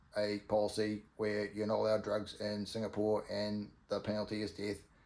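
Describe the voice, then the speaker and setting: A man with a fairly low pitch and a New Zealand accent. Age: 50s. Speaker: vlogger. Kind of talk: casual monologue. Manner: halting, many ums and ahs.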